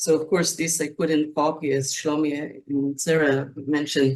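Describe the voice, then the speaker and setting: At a moderate pace, a woman with an Israeli accent speaks in a very deep, low pitch. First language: Hebrew. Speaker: poet. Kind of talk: panel discussion. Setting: video call.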